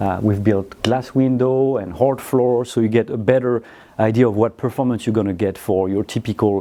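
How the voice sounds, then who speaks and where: A man's fairly low-pitched voice with a dark, mellow tone, fairly even intonation, a moderate pace and a French accent. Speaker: audio company managing director. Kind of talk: product presentation.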